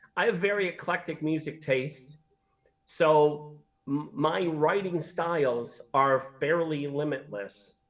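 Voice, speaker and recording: A man's fairly high, fairly slow delivery with lively intonation, a normal speaking voice. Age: 60s. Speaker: singer-songwriter. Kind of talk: interview. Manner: conversational.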